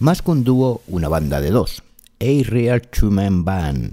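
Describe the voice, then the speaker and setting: The voice has a dark, mellow tone, very wide pitch swings and a fairly slow pace. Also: man, very clean recording, silent background. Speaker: radio host. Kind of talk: radio presenting.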